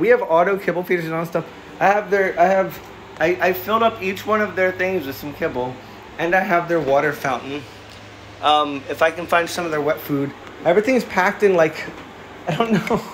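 With noticeable background noise behind him, a man speaks at a fairly quick pace in a high voice with ordinary pitch variation. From Philadelphia, US. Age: 30s. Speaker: cat livestreamer. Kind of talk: casual livestream chat. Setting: home livestream. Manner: animated.

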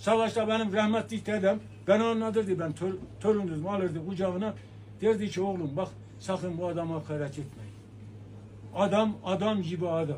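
A man talks at a moderate pace in a high voice with ordinary pitch variation. Light background noise can be heard. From Turkey, Erzurum; Turkey. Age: 70s. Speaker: elderly man interviewed; interviewee. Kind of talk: street interview. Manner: animated. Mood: earnest, emphatic. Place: shop.

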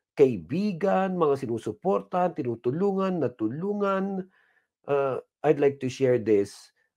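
Against a quiet background, a man talks at a very slow pace. His pitch is fairly high and swings very widely. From Philippines. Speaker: pastor. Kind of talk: sermon. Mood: warm, grateful, encouraging. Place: studio. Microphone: lapel.

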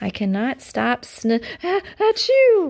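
A woman puts on a character voice, pitched high with vocal fry and a slightly mellow tone, speaking slowly with very wide pitch swings.

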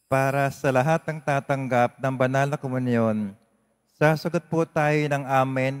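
A man speaks at a medium pitch and a moderate pace, with fairly even intonation and a normal speaking voice. The sound is dry and close, with no echo. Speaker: lector and congregation leader at Mass. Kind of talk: liturgical reading and responses. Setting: church.

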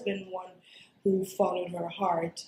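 A woman speaks at a moderate pace with audible room echo. Light background noise is present. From Dubai. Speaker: actor, storyteller, voice over artist. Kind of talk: interview answer. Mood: warm, reflective, smiling. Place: meeting room.

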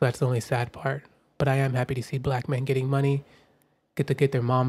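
A man's very fast, somewhat breathy delivery in a monotone, flat intonation. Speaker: podcast host. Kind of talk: casual chat. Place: home room. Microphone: studio mic.

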